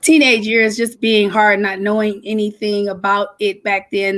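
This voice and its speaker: A woman's medium-pitched voice with an American accent and monotone, flat intonation. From Detroit, Michigan. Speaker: lupus advocate. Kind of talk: interview.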